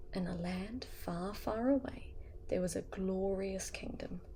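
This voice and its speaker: In a New Zealand accent, the speaker is soft-spoken, with a gentle tone and a fairly slow pace. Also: woman. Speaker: ASMR artist. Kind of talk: bedtime story reading. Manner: soft-spoken, gentle.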